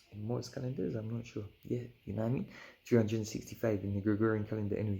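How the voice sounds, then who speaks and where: Very fast and somewhat breathy, a man talks at a fairly low pitch with fairly even intonation and a dark, mellow tone. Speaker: Rastafarian spiritual video creator. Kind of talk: casual spiritual reasoning and reading aloud.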